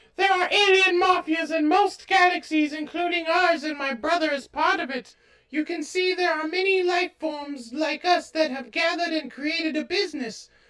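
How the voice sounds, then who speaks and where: A woman does a cartoonish character voice, squeaky and extremely high in pitch. She talks at a moderate pace with hardly any pauses and ordinary pitch variation. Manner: warm, motherly.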